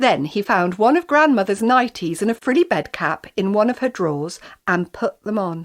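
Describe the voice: Lively intonation marks this plain reading aloud.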